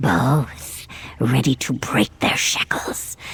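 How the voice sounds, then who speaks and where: Whispering at a very slow pace, the speaker puts on a cartoonish character voice. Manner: halting, clipped fragments.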